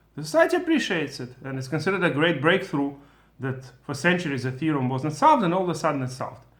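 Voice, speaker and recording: A man with a Russian accent talks very fast at a fairly high pitch, with ordinary pitch variation and big swings in loudness. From former Soviet Union. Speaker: Torah teacher. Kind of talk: lecture. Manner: halting.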